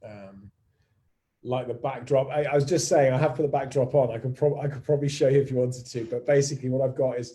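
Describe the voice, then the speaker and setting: A very fast, somewhat breathy male voice of medium pitch, dark and mellow in tone, with fairly even intonation. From Somerset, England. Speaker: entrepreneur and live-stream host. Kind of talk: casual live-stream chat. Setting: live video from home office. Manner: hesitant, many fillers and restarts.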